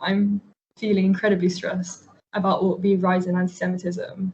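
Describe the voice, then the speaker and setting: Speaking at a fairly quick pace in a London accent, a woman keeps a monotone, flat intonation, her medium-pitched voice somewhat breathy. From north London. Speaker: university student. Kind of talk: interview.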